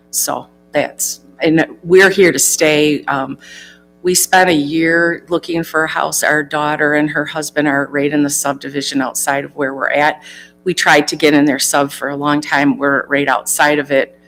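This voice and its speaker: Over background music, a woman with an American accent speaks at a moderate pace. Her pitch is very deep and low, and her intonation is flat and monotone. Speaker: job candidate, former village treasurer. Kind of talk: job interview.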